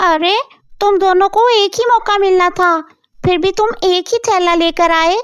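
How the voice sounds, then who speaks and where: A female-sounding, cartoonish character voice pitched extremely high for a woman, speaking at a moderate pace. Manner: warm, kindly.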